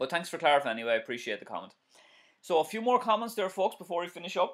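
A man's high-pitched voice with very wide pitch swings at a very fast pace, over a quiet background. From Ireland. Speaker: driving instructor. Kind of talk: live-stream tutorial and viewer Q&A. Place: home room. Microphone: webcam.

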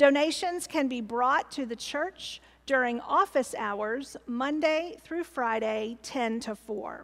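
A woman talks at a fairly slow pace in a high voice. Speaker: pastor. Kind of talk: church announcements. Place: church.

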